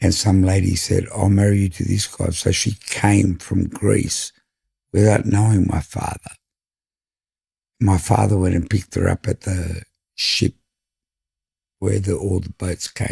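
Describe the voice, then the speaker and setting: A man's fairly low, somewhat breathy voice with a dark, mellow tone and an Australian accent, monotone and flat, at a fairly slow pace with long, frequent pauses. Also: dry, close sound with no echo. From Sydney, Australia (Five Dock). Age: 60s. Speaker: fish and chip shop owner. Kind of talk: casual interview chat.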